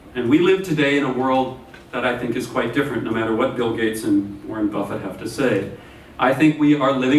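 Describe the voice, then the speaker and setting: Amid audible room echo and noticeable background noise, a man speaks at a fairly quick pace in a medium pitch with ordinary pitch variation. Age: 50s. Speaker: professor. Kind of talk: lecture.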